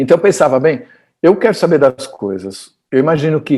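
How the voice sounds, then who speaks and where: In a Brazilian accent, a man with a high voice speaks at a moderate pace on a very clean recording with a silent background. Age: 60s. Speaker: physicist. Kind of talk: interview. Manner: halting.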